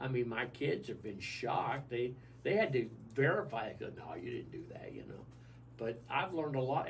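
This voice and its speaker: In an American accent, a man talks with ordinary pitch variation amid audible room echo and noticeable background noise. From US South. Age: 70s. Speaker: senior living resident. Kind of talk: radio interview.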